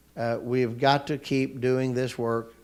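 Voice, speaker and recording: In an unremarkable speaking voice, a man with an American accent talks at a medium pitch and a fairly slow pace. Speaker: economic development leader. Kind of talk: panel discussion.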